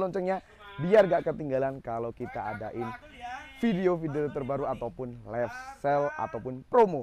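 A man talks over light background noise in a dry sound with no echo. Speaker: presenter. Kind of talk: product review vlog. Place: shop. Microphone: lapel.

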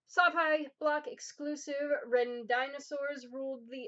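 Against a quiet background, a woman with an American accent and a high pitch speaks at a very slow pace. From New Jersey. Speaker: YouTuber. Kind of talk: unboxing video. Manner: animated. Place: home room. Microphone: webcam.

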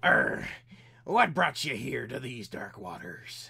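A man uses a raspy, put-on character voice at a medium pitch. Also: fairly slow pace. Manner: gruff, theatrical.

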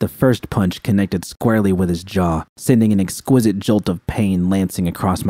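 Here someone does plain reading aloud.

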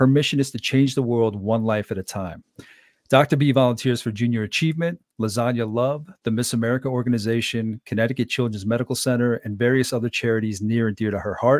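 Speaking at a very fast pace with fairly even intonation, a man sounds dry with no echo over a quiet background. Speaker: podcast host and leadership coach. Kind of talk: interview conversation. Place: home room. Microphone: studio mic.

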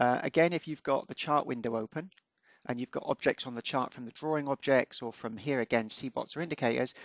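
The voice moves at a fairly quick pace with ordinary pitch variation, and the sound is dry and close with no echo. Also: man, medium pitch for a man.

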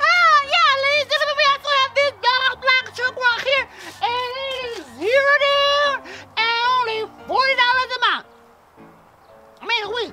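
A put-on character voice at an extremely high pitch, moderate pace and long, frequent pauses. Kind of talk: improvised comedy skit, mock car-lot commercial pitch. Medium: role play.

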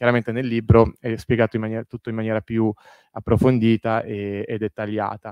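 Speaking at a fairly quick pace in a monotone, flat delivery, a man with a medium pitch is heard as a dry sound with no echo against a quiet background. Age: 30s. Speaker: historian, author. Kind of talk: lecture; Q&A answers. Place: hall.

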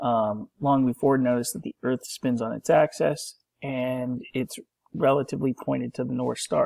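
A man speaks at a moderate pace, the sound dry with no echo. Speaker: college instructor. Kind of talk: lecture. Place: home room. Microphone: webcam.

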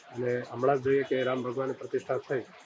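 A man with a fairly high pitch over noticeable background noise. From Banaskantha, Gujarat. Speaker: temple head priest, religious leader. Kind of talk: interview.

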